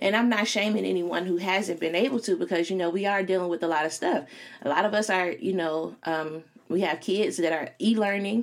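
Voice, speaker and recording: An unremarkable speaking voice with an American accent moves at a fairly quick pace, with ordinary pitch variation and very even loudness. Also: woman, medium pitch for a woman. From Chicago. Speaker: podcast host and career coach. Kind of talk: solo podcast monologue. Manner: casual, filler-heavy.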